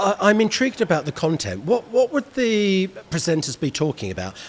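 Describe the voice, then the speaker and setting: Very fast pace and very wide pitch swings. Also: man. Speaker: interview host. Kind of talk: interview questions.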